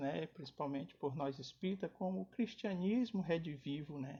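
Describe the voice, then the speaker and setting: Soft-spoken and dark, mellow in tone, a man speaks in a high pitch at a moderate pace with lively intonation. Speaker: spiritist lecturer. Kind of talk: lecture. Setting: online live stream.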